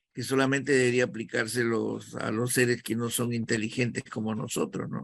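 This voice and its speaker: Speaking with a Peruvian accent, a man keeps a medium pitch and fairly even intonation. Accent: Peruvian Spanish (Lima). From Peru, Callao. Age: 70s. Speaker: actor and acting teacher. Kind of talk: interview.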